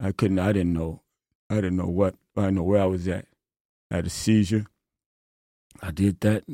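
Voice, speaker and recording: In an American accent, a dark, mellow voice speaks at a moderate pace with monotone, flat intonation and long, frequent pauses, in a dry, close sound with no echo. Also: man, very deep, low pitch for a man. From Chicago. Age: 60s. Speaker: former prisoner turned prison minister. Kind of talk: personal testimony.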